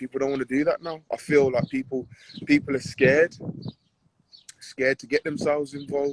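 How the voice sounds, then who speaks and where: Speaking at a fairly quick pace in a Birmingham accent, the voice stays monotone and flat yet swings widely in loudness, with long, frequent pauses and a dry, close sound lacking echo. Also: man, fairly high pitch for a man. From Birmingham, England. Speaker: professional boxer. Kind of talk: casual interview chat.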